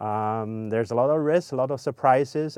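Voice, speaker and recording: A man speaks with a Chinese accent and fairly even intonation. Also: quiet background. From China. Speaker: ocean scientist and company founder. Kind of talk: personal profile interview.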